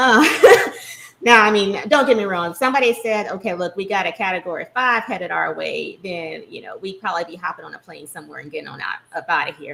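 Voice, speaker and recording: A woman speaks very fast with an American accent and lively intonation. Her loudness swings widely. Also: medium pitch for a woman. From US South, near New Orleans. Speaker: expat living abroad. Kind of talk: casual chat.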